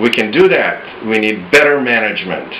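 Light background noise behind a male speaker. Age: 60s. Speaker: author and management consultant. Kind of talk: personal opinion talk to camera. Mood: earnest, hopeful, a bit frustrated.

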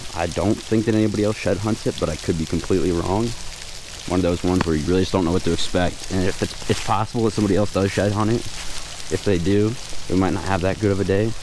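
A very fast, very deep, low male voice with fairly even intonation and very even loudness, dry with no echo, over noticeable background noise. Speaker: shed hunter vlogger. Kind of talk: casual vlog chat. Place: open country. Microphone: phone near.

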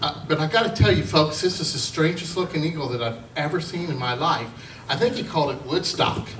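A man talks fairly quickly, with noticeable background noise around him. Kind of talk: humorous storytelling to an audience. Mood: jovial, amused. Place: hall.

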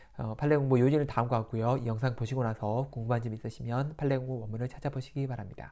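Speaking very fast with hardly any pauses, a man keeps his intonation flat and monotone. His tone is dark and mellow. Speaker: lawyer explaining court rulings. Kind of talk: tutorial. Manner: casual, filler-heavy explanation.

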